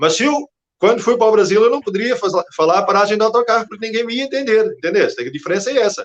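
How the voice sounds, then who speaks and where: His speech rushes at a very fast pace. The pitch is high and varies in an ordinary way. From Portugal. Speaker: Portuguese immigrant telling his story. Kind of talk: interview. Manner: halting.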